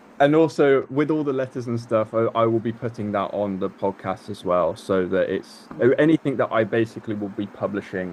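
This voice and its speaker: A man's lively intonation and fairly quick pace come through against noticeable background noise. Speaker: music industry author. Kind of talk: casual chat.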